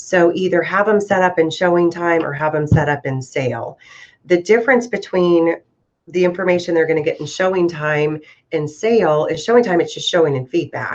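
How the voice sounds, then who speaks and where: Fairly quick and fairly low-pitched, a woman talks in a plain, everyday voice with ordinary pitch variation. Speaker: real estate software trainer. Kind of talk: tutorial. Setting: video call.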